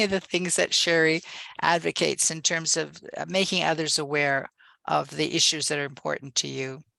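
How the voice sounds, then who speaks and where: A woman's voice sits fairly low, with a bright, sharp tone and ordinary pitch variation. The sound is dry and close with no echo. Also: quiet background. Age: 70s. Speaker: women's leadership advocate. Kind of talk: webinar panel discussion.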